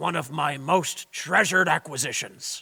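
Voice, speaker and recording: Putting on a raspy character voice, a man speaks at a moderate pace with a fairly high pitch and ordinary pitch variation. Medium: audio drama. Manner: gruff, blustering, boastful.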